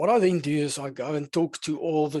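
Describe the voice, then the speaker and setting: Fairly even intonation from a man, quiet background. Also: dry sound with no echo. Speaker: software product demonstrator; software demonstrator. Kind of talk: software demo webinar. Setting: online webinar. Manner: fast. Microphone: headset.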